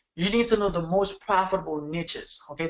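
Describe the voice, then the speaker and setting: This man talks at a moderate pace in a non-native accent. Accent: foreign. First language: not English. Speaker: online marketing coach. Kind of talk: webinar. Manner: animated.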